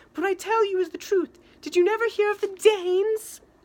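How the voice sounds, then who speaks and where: A put-on character voice, squeaky and extremely high-pitched. It moves at a fairly quick pace. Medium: read story. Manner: sly, sharp-tongued.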